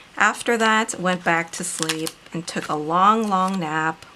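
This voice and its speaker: Against noticeable background noise, a woman talks at a medium pitch and a fairly slow pace. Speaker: planner video creator and author. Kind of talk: casual craft tutorial narration.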